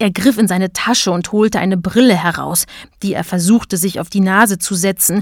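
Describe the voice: Simple reading aloud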